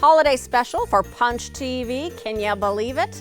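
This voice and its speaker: A woman talks rather slowly. Music plays behind her voice. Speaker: TV show host. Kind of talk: show host introduction.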